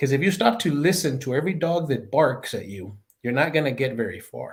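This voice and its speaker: Speaking fairly quickly with an American accent, a man uses a fairly high pitch and very wide pitch swings. Vocal fry runs through his voice. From El Paso, Texas. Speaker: retired law enforcement chief and leadership expert. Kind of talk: interview answer. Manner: conversational.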